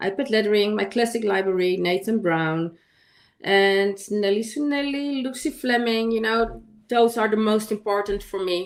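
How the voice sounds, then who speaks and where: A woman with a non-native accent talks at a moderate pace. Her pitch is fairly high, with ordinary variation. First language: not English. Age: 50s. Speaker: digital artist. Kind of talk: casual chat. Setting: livestream. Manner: halting.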